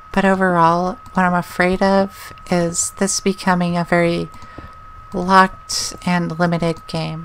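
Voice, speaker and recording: Against noticeable background noise, a soft-spoken woman talks at a fairly slow pace with medium pitch and monotone, flat intonation. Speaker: gaming YouTuber. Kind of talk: let's play commentary. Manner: calm.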